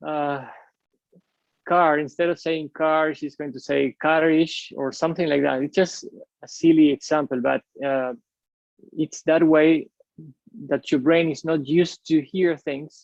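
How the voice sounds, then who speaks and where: A man's fairly high, monotone voice with flat intonation and a Spanish accent, fairly slow with long, frequent pauses, in a dry, close sound with no echo. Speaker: airline pilot, UFO researcher. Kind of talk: interview conversation. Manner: hesitant, many fillers and repeats.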